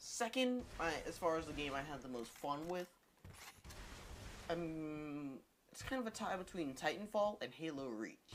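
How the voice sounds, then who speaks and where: A moderate pace broken by long, frequent pauses. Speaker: YouTuber answering viewer questions. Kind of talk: casual Q&A vlog. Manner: drags syllables together; halting, self-correcting.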